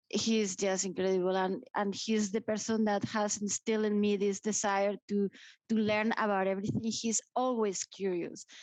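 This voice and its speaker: A woman with a Spanish accent speaks at medium pitch and a moderate pace, her intonation monotone and flat and her loudness very even. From Spain (grew up in Madrid). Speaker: nuclear industry association director. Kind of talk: interview.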